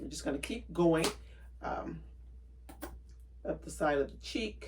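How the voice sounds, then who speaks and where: With a relaxed tone, a woman speaks at a very slow pace, with long, frequent pauses and big swings in loudness. Audible room echo and noticeable background noise surround her. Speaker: craft tutorial youtuber. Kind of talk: tutorial. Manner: casual, relaxed.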